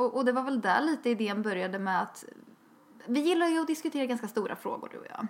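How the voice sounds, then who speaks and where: Lively intonation comes at a very fast pace against noticeable background noise. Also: woman, high pitch for a woman. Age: 20s. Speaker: podcast co-host. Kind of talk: casual chat. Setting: outdoors. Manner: talkative.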